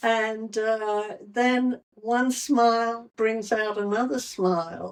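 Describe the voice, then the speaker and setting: At a very slow pace, a woman speaks in a fairly high pitch with fairly even intonation. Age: 80s+. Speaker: tap dance instructor. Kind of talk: interview answer.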